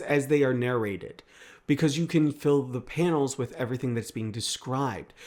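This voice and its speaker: In a very clean recording with a silent background, a man with a fairly high pitch speaks with an American accent. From US Midwest. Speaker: book and manga reviewer. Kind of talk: casual review monologue. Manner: casual, with fillers.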